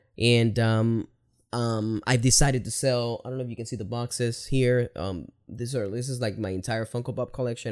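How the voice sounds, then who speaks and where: Man with a Spanish accent at a fairly quick pace, his intonation fairly even, on a very clean recording with a silent background. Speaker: video creator. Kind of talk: personal monologue vlog. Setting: home recording to camera. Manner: casual, halting with fillers.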